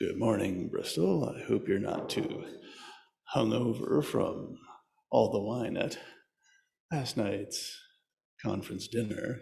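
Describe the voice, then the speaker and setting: Putting on a character voice, a man with a medium pitch speaks raspily at a fairly slow pace, leaving long, frequent pauses. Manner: smooth, sleepy.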